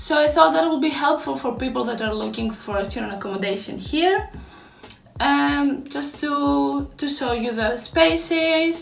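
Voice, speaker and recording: With a Greek accent, a woman speaks at a moderate pace using very wide pitch swings, amid noticeable background noise and audible room echo. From Greece. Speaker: YouTuber, postgraduate student. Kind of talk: room tour vlog.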